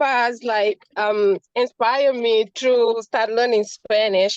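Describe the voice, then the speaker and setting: In an African accent, a woman speaks at a very slow pace, the sound dry and close with no echo. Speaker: audience member asking a question. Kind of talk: question from audience. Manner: halting.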